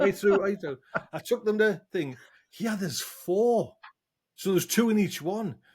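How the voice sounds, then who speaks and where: A man with a northern English accent speaks at a high pitch in an animated tone with ordinary pitch variation. His pace is moderate, with long, frequent pauses. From northern England. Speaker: podcast host. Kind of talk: casual chat.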